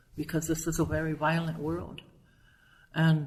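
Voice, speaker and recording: Speaking with an American accent, a woman with a fairly low, somewhat breathy voice goes at a fairly slow pace amid audible room echo. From Nebraska. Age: 60s. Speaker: educator and poet. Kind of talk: interview. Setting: at a conference.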